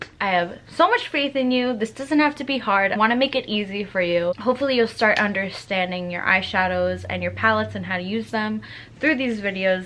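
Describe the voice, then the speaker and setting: Lively intonation and a moderate pace from a woman, noticeable background noise behind her. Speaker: makeup youtuber. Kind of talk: tutorial. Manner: casual, chatty.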